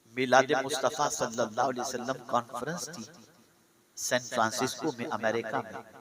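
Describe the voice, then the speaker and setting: A man's medium-pitched voice with fairly even intonation and big swings in loudness, against noticeable background noise. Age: 60s. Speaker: Islamic preacher. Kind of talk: sermon. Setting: stage with audience.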